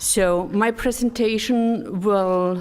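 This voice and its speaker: A woman with a German accent. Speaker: development cooperation expert. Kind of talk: conference presentation. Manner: halting.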